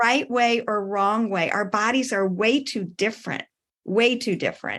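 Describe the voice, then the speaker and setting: Speaking in a Midwestern American accent, a woman talks at a moderate pace with a fairly high pitch and fairly even intonation against a quiet background. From US Midwest. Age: 60s. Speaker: wellness coach and athlete. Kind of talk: casual interview chat.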